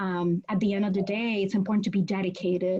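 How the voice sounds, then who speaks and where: A woman with a Spanish accent speaks at a very fast pace. Her voice is somewhat breathy. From Puerto Rico. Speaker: law professor. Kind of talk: interview.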